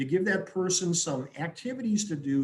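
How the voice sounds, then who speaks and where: A man with an American accent, ordinary pitch variation and a moderate pace. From Wisconsin, US Midwest. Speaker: business consultant. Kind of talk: webinar presentation.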